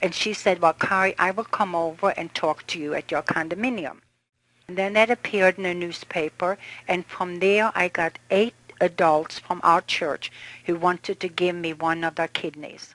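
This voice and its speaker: A woman with an unremarkable speaking voice, fairly low pitch, fairly even intonation and a moderate pace, in a dry, close sound with no echo. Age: 60s. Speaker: kidney transplant recipient. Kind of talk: testimony.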